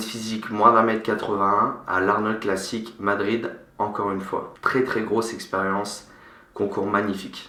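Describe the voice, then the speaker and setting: Speaking at a fairly slow pace with a fairly low pitch, a man is heard over noticeable background noise with audible room echo. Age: 20s. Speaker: fitness coach and bodybuilding competitor. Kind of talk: vlog introduction.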